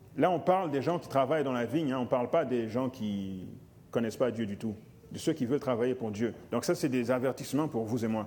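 A man's dark, mellow tone. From Africa. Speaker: lay preacher. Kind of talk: sermon.

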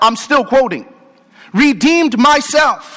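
A man's warm, animated tone with ordinary pitch variation, against noticeable background noise. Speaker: preacher. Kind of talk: sermon to healthcare professionals, call-and-response, rousing pulpit preaching. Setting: live in church or conference hall before audience. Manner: animated, rhetorical questions, inviting audience amens; warm and humorous, conversational.

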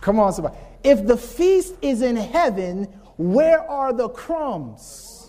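An extremely high-pitched man's voice at a very slow pace, with very wide pitch swings and noticeable background noise. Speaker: preacher. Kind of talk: sermon. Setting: church. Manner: animated; call-and-response.

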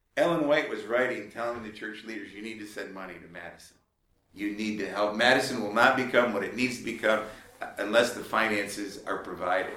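A man speaks at a medium pitch with a bright, sharp tone and fairly even intonation. His loudness swings widely, and audible room echo can be heard. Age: 50s. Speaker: lay preacher and ministry leader. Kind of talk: lecture. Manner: conversational, with frequent fillers.

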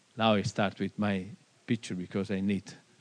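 The speaker is a man. He talks with an Italian accent. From Italy. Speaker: pastor. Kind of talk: seminar talk. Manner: halting.

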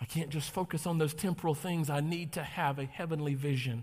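A somewhat breathy man with an American accent, animated in tone and fairly quick in pace. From North Carolina. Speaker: pastor. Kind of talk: sermon. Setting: church with congregation. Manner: animated, preacherly.

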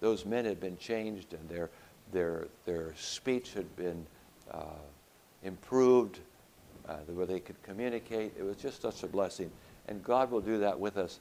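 Pausing long and often, a man with a fairly low pitch and a dark, mellow tone talks fairly slowly with ordinary pitch variation. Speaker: pastor and health educator. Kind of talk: lecture.

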